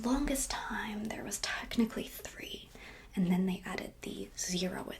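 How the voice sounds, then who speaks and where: A woman whispers. Her tone is relaxed. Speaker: ASMR creator and HVAC engineer. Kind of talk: ASMR whiteboard science lesson. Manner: soft-spoken, relaxed.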